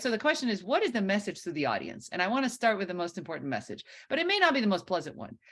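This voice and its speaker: A woman talks with a fairly high pitch and vocal fry. Her pitch swings very widely. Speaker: professor. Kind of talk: lecture. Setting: video call. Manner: loud.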